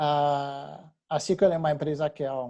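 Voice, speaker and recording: With a French accent, a man speaks in a fairly high, dark, mellow voice with fairly even intonation. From France. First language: French (speaking Portuguese). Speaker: technology company representative. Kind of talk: webinar presentation. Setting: webinar. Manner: halting, many fillers.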